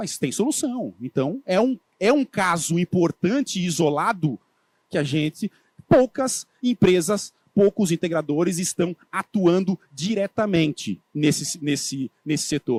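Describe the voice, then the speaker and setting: A high-pitched man with a coastal Santa Catarina accent speaks with lively intonation in a dry, close sound with no echo. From Santa Catarina coast, southern Brazil. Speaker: agribusiness solar sales speaker. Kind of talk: conference talk. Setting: stage at industry event. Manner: casual, conversational.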